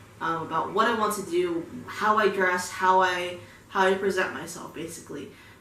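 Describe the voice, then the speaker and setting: With an American accent, a woman speaks at a medium pitch and with fairly even intonation. Audible room echo and noticeable background noise are present. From United States. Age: 20s. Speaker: music video reactor. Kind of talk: casual reaction commentary. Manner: casual, many fillers.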